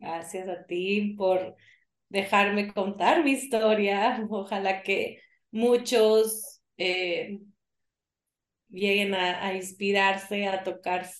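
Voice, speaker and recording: Her pace is very slow. The woman's intonation stays fairly even. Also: medium pitch for a woman. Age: 40s. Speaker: yoga teacher. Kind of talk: interview.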